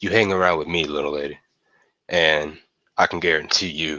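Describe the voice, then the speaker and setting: Putting on a character voice, a man speaks at a moderate pace in a raspy, very deep, low pitch. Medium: actual play.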